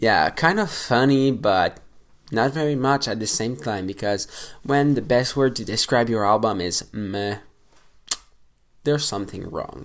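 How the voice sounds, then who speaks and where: Someone with a non-native accent speaks at a fairly slow pace, leaving long, frequent pauses. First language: not English. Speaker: metal music YouTuber. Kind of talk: casual album review vlog. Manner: hesitant, many fillers; animated.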